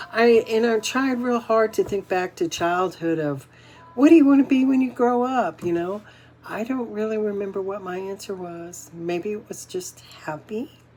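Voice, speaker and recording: Music plays in the background as a woman with a fairly high voice speaks at a moderate pace with lively intonation. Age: 60s. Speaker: inspirational vlogger. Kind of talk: casual motivational talk to camera. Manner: halting, with many fillers and repeats.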